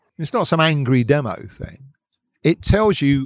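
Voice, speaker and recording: Speaking in a southern English accent, a man with a fairly high pitch uses lively intonation at a moderate pace. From southern England (Hertfordshire, London from teens). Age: 50s. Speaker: musician and campaigner. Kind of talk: casual interview. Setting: outdoors at a park cafe.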